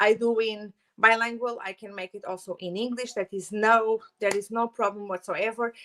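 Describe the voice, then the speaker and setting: Speaking with a strong Portuguese accent, a woman uses a fairly high, bright and sharp voice with monotone, flat intonation and big swings in loudness, in a dry, close sound with no echo. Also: moderate pace. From Portugal. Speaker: holistic therapist and Reiki teacher. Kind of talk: channel introduction vlog. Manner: hesitant, many fillers.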